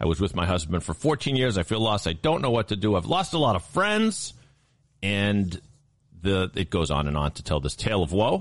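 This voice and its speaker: A normal speaking voice from a man, fairly low in pitch, with lively intonation and a fairly quick pace. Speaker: producer and co-host.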